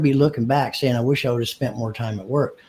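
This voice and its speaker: The man's voice is somewhat breathy. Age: 60s. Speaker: dealership marketing business co-founder. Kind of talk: casual interview. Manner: halting, repeats words.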